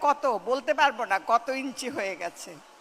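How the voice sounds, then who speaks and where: The tone is bright and sharp, with lively intonation. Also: woman. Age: 80s+. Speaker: actress. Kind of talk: speech at an event.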